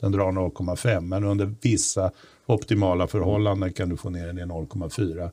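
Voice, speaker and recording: Recorded very cleanly against a silent background, a man speaks fairly slowly with a very deep, low pitch and a dark, mellow tone. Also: fairly even intonation. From Stockholm, Bromma. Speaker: podcast host. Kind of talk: casual political chat.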